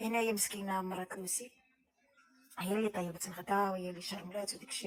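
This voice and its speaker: Over noticeable background noise, a woman speaks in a medium pitch. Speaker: cooking vlogger. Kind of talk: casual vlog talk. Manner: halting.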